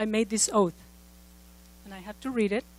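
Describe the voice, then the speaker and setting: A woman speaks with a slight Mexican accent at a fairly high pitch, her intonation fairly even. The sound is dry and close, with no echo. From Mexico. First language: Spanish. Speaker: former congressional candidate, speaker. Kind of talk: conference speech.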